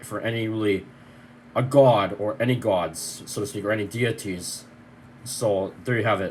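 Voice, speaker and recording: A man speaks with ordinary pitch variation in a somewhat breathy voice. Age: 30s. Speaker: vlogger. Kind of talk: personal video update. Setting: bedroom. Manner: fast.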